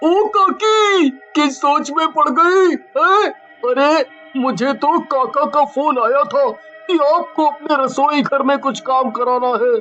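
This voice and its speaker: Someone performs a cartoonish character voice at a fairly slow pace. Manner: brash, informal.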